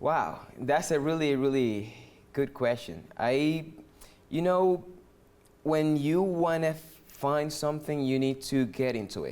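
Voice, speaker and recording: A man with a Dominican accent, fairly high in pitch, at a very slow pace with long, frequent pauses. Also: ordinary pitch variation. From Dominican Republic. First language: Spanish. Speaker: musician, percussionist. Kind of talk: interview conversation. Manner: halting, with many fillers and restarts.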